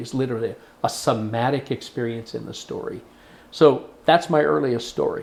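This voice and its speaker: This man has an American accent and a medium pitch, with a somewhat breathy sound. He talks at a moderate pace with ordinary pitch variation. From Oklahoma. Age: 60s. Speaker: storyteller. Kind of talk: interview. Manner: reflective, with hesitations.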